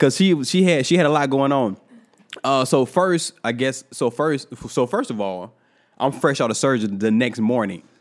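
Lively intonation marks this man's speech. His pitch is medium and his pace moderate. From US South, Georgia. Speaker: podcast co-host. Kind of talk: casual chat.

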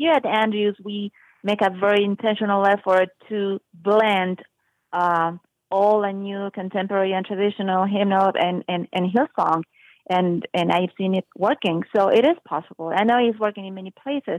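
This woman has a medium-pitched voice and speaks with a Spanish accent. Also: ordinary pitch variation, moderate pace. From Uruguay. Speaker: music professor. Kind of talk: interview.

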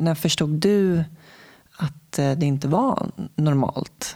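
A woman speaks in a very deep, low voice. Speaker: podcast host. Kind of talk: interview and scripted intro.

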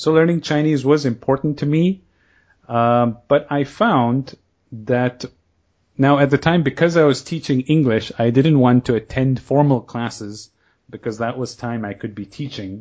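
A man at a medium pitch uses an ordinary speaking voice, his pitch shifting in an ordinary way. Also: moderate pace. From Kenya and Canada. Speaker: podcast host and online language course founder. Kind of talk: casual interview, being interviewed.

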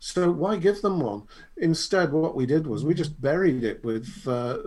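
The man's delivery is at a moderate speed. He uses a normal speaking voice. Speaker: podcast co-host, marketing consultant. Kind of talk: casual chat. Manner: joking, bantering.

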